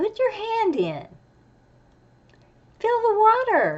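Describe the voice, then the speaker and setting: A squeaky, put-on character voice moves at a very slow pace with ordinary pitch variation. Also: woman, extremely high pitch for a woman. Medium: stage play. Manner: warm, reassuring.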